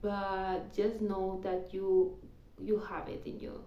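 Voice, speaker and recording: With a non-native accent and a dark, mellow tone, a woman speaks fairly slowly amid audible room echo. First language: not English (English is third language). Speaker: tarot reader. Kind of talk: tarot reading; casual personal aside. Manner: halting with repetitions.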